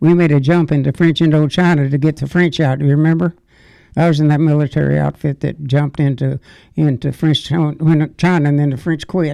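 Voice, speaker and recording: Speaking at a fairly quick pace, a man with a fairly high pitch and a dark, mellow tone keeps a monotone, flat intonation and very even loudness. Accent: Southern US. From Arkansas. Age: 90s. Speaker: war veteran. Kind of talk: interview. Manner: halting.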